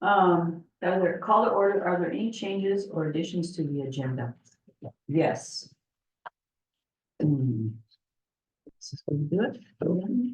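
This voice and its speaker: Soft-spoken and fairly slow, a woman speaks in a fairly low pitch with lively intonation. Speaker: library board chair. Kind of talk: public board meeting. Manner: halting. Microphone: too quiet for audience.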